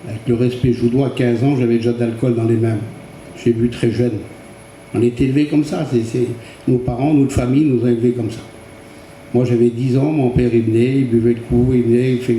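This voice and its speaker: Over noticeable background noise, a man speaks flatly and monotonously at a fairly quick pace, with long, frequent pauses. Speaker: churchgoer giving testimony. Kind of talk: testimony. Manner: halting.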